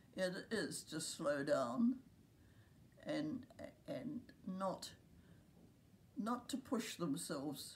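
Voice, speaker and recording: A woman with a New Zealand accent speaks very slowly at a medium pitch, her somewhat breathy voice making very wide pitch swings. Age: 90s. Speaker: care home resident. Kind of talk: interview.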